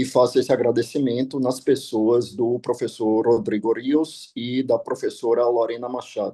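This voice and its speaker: Here a man talks at a moderate pace. His pitch is medium and his tone dark and mellow. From Brazil. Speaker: law professor. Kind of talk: conference talk. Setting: video call. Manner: formal.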